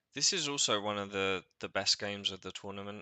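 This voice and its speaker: With an English accent, a man talks at a fairly quick pace in a fairly low pitch. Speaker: tournament organizer and co-host. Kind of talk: casual chat. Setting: livestream.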